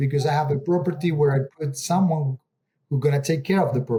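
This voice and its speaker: With a dark, mellow tone, a man speaks at a fairly high pitch with ordinary pitch variation. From Argentina. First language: Spanish. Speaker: real estate investor. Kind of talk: interview. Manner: halting, with fillers.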